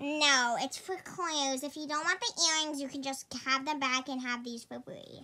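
A woman's high, put-on character voice at a moderate pace, with hardly any pauses and big swings in loudness. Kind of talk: kid comedy skit. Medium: comedy sketch. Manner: chirpy, salesy.

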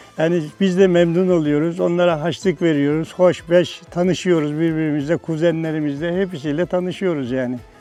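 A high-pitched man talks with hardly any pauses over music in the background. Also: moderate pace. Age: 70s. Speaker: tailor and tea house keeper. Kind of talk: interview answer.

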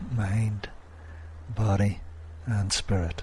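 There is noticeable background noise. Through it, a man speaks in a soothing tone. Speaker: hypnotist. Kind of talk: guided hypnosis session. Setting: pre-recorded audio session. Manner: slow, soothing, hypnotic.

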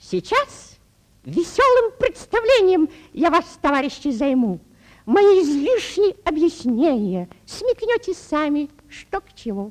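A cartoonish character voice, high-pitched, with very wide pitch swings and a fairly slow pace. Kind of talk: cartoon ringmaster patter, addressing the audience.

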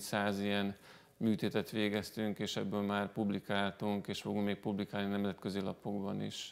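Here a man speaks at a fairly slow pace. His pitch sits fairly low. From Hungary. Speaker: breast cancer surgeon; guest. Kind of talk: TV studio interview. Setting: TV studio. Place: studio. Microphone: lapel.

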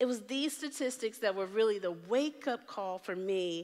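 With a quiet background, a woman speaks at a moderate pace. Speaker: keynote speaker. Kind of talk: keynote talk. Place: stage.

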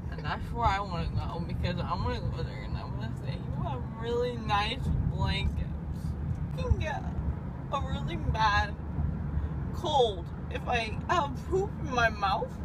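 A woman at a fairly slow pace, with long, frequent pauses, dry sound with no echo, and loud background noise. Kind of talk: casual drowsy rambling. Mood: groggy, sedated, giggly. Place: car. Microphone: phone near.

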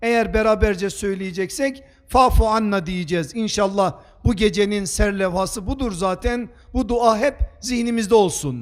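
A man's high-pitched voice with ordinary pitch variation at a fairly slow pace. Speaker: preacher. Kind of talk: sermon.

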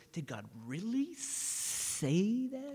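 A woman puts on a character voice at a fairly high pitch. Her speech has a hissing sound. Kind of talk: sermon. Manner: sly, insinuating. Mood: animated, smiling.

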